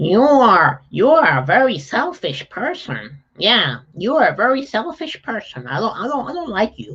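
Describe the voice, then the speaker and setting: Putting on a character voice at a high pitch, a man swings his pitch very widely and hardly pauses. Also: moderate pace. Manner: quacky, cartoonish.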